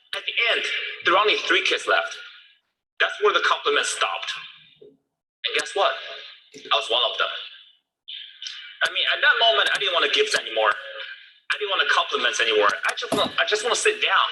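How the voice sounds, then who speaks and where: The speaker leaves long, frequent pauses, and audible room echo fills the recording. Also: man, moderate pace. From China (Beijing). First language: Mandarin Chinese. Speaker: motivational speaker. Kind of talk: keynote talk. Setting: stage with audience. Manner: animated.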